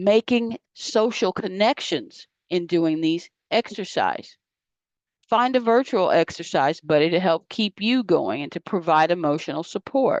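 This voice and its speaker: In a normal speaking voice, a woman talks at a fairly slow pace and a medium pitch with lively intonation, the sound dry and close with no echo. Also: quiet background. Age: 60s. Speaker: health educator. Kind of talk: lecture.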